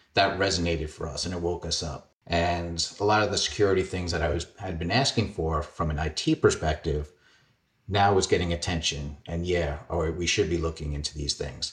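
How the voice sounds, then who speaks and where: Against a quiet background, a man with a New York accent speaks at a very deep, low pitch, somewhat breathy, at a fairly quick pace and with ordinary pitch variation. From Queens, New York. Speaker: cybersecurity executive. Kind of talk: interview.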